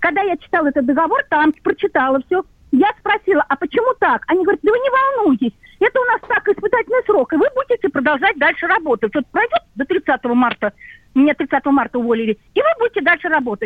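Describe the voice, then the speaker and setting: A woman talks at a very fast pace in an extremely high pitch, her pitch swinging very widely while her loudness stays very even. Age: 60s. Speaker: radio caller, cashier. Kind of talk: radio call-in question.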